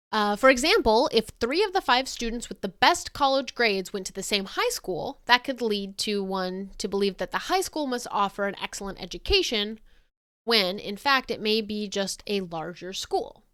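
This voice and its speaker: With an ordinary speaking voice, a woman speaks at a moderate pace, using lively intonation and big swings in loudness. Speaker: physics educator streamer. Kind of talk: casual educational livestream. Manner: casual with fillers. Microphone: mic on the quiet side, gain added.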